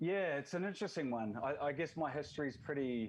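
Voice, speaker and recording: Against a quiet background, a man with a New Zealand accent speaks at a very fast pace with ordinary pitch variation. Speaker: football league representative. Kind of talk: podcast interview.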